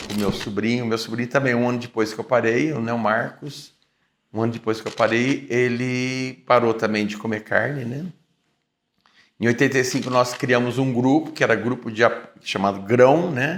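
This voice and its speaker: With an unremarkable speaking voice, a man talks at a moderate pace. His medium-pitched delivery has fairly even intonation. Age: 60s. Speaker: vegetarian activist. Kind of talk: interview testimony.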